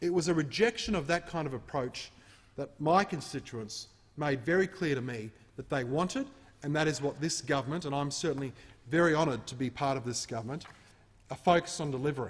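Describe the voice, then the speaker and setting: Somewhat breathy and fairly high-pitched, a man with an Australian accent speaks at a fairly quick pace with ordinary pitch variation. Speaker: member of parliament. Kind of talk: parliamentary speech.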